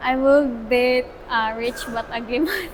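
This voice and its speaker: With a Filipino accent and ordinary pitch variation, the voice comes through noticeable background noise. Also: woman. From Philippines. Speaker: student. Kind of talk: interview answer. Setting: outdoors.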